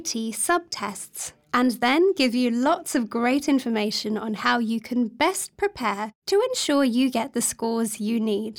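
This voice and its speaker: A woman speaks at a high pitch with lively intonation and a fairly slow pace. She leaves hardly any pauses. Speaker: podcast announcer. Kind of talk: scripted intro and outro.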